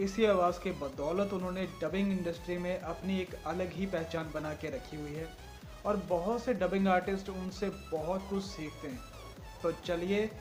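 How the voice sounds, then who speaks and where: Music plays in the background as a man talks. His voice is high-pitched, with fairly even intonation. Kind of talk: casual talk to camera, YouTube channel introduction.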